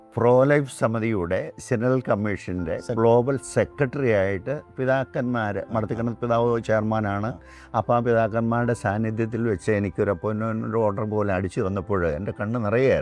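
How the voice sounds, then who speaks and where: Over music in the background, a man speaks at a medium pitch with ordinary pitch variation. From Kerala, India. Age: 60s. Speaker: church lay worker and gospel magician. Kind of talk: interview answer.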